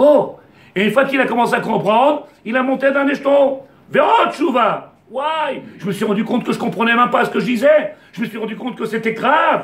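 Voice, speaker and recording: Extremely high for a man, this male voice shows big swings in loudness. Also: ordinary pitch variation. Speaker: rabbi. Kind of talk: Torah lesson. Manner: fast; animated.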